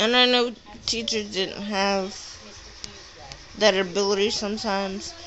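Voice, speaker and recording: In a room with audible echo and noticeable background noise, a woman talks fairly slowly at a medium pitch, with fairly even intonation and long, frequent pauses. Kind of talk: casual personal vlog monologue. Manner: halting, self-correcting.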